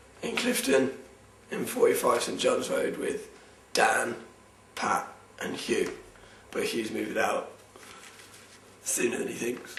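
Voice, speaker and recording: A man with a southern English accent talks at a very slow pace. The recording has audible room echo and noticeable background noise. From southern England. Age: 20s. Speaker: university student. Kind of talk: casual personal monologue. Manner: hesitant, many ums.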